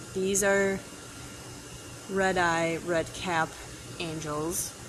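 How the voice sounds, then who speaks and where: A woman speaks with a fairly low pitch. Noticeable background noise runs behind her. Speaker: fish store staff hosting live stream. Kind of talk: live stream store tour. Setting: aquarium store, live stream. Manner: animated.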